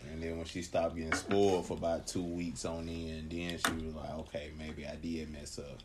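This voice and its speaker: A man with a very deep, low pitch speaks at a moderate pace in a flat monotone, somewhat breathy and with hardly any pauses. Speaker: host's boyfriend, gamer. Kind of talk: casual chat. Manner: halting, many fillers.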